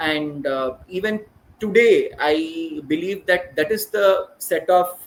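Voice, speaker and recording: A man's high voice with a Keralan accent. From India, Hyderabad (Telangana). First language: Malayalam. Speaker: educator, school principal. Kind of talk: podcast interview. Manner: hesitant, many fillers.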